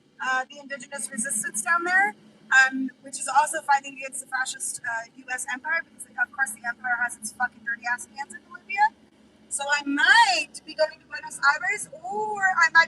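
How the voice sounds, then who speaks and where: With an American accent, a woman speaks at a moderate pace in a raised, projected voice, high in pitch with ordinary pitch variation and an animated, passionate tone, the sound dry and close with no echo. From Idaho, US. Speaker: vanlife streamer and move-abroad coach. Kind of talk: casual live-stream chat while driving. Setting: in a car.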